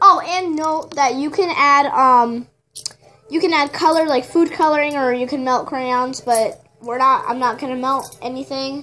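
A woman with a high pitch speaks in a raised, projected voice at a fairly slow pace with ordinary pitch variation. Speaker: first-time DIY vlogger. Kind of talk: casual DIY tutorial talk to camera. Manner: hesitant, stuttering, many fillers. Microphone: phone near.

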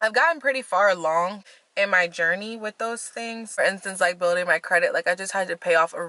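A woman's voice comes across bright and sharp, dry with no echo, over a quiet background. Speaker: vlogger. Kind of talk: casual vlog chat. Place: car. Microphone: phone near.

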